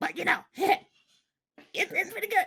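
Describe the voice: A man puts on a character voice that is extremely high, bright and sharp, with vocal fry, fairly even intonation and a moderate pace.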